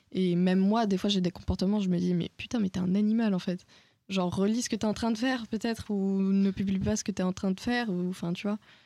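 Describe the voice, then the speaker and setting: At a fairly quick pace, a woman with a medium pitch and a dark, mellow tone speaks with fairly even intonation and very even loudness, in a dry, close sound with no echo and a very clean recording with a silent background. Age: young. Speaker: podcast host. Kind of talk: casual chat.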